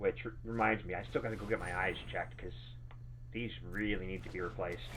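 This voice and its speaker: Very deep and low, with vocal fry, a man's voice races at a very fast pace through very wide pitch swings. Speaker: game streamer. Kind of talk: live gameplay stream chat. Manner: casual, halting.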